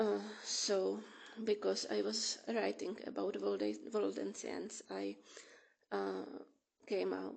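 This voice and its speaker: A woman speaking at a very slow pace, with long, frequent pauses. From Czech Republic (Bohemia). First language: Czech. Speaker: author. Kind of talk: casual talk. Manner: halting.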